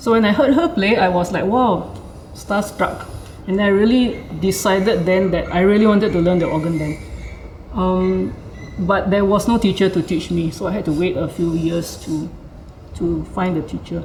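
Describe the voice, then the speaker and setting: A woman speaks at medium pitch and a moderate pace with ordinary pitch variation, with audible room echo and noticeable background noise. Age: 60s. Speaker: organist. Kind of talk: casual chat. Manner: hesitant, with fillers.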